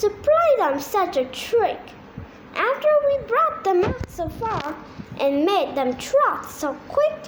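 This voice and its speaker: A woman uses a put-on character voice pitched extremely high, with very wide pitch swings. She talks at a fairly slow pace over clear background noise. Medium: read story.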